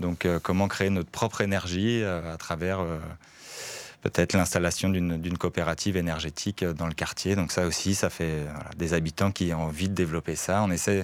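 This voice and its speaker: A man's very deep, low pitch in monotone, flat intonation at a moderate pace. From France. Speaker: neighbourhood resident and volunteer. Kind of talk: radio interview.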